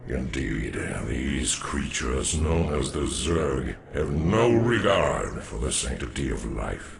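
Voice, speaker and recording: A man performs a put-on character voice. Clear background noise can be heard. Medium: video game. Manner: formal, measured.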